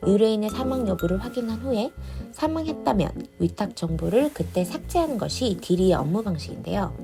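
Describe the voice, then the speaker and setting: Music can be heard behind the speaker. She is a woman talking at a moderate pace. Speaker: drama reviewer. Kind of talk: casual review narration.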